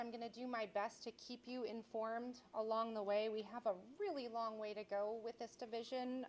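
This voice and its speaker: A woman speaks loudly at a high pitch. Her pace is moderate. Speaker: state official addressing community. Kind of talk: public listening session remarks. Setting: community meeting with audience. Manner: halting, many fillers.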